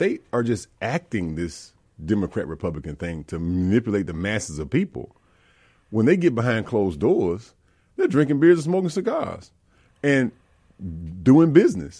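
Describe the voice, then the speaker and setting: On a very clean recording with a silent background, a man with a Mississippi accent speaks in a dark, mellow tone of medium pitch, with very wide pitch swings and long, frequent pauses. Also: moderate pace. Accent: US Southern (Mississippi). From Mississippi, Jackson. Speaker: public service commissioner and Marine veteran. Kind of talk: interview. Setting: studio.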